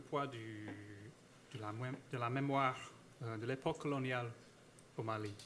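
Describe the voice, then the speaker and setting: The man's delivery is fairly slow. He talks with an American accent. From United States. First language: English (speaking French). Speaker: historian / academic speaker. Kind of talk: conference talk. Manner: halting, many hesitations and repetitions.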